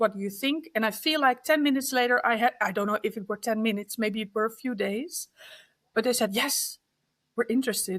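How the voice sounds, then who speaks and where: A woman's fairly high-pitched voice with a Dutch accent and ordinary pitch variation, on a very clean recording with a silent background. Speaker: card deck artist. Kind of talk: interview. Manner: halting.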